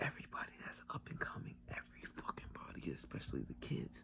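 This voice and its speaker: A man whispers at a moderate pace. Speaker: spiritual vlogger. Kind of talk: casual monologue. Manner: whispering; animated.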